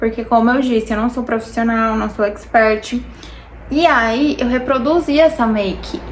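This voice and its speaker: Noticeable background noise surrounds a woman's voice. She speaks fairly slowly at a fairly high pitch, with ordinary pitch variation. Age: 20s. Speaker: beauty vlogger. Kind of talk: casual chat while doing makeup. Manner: chatty, informal.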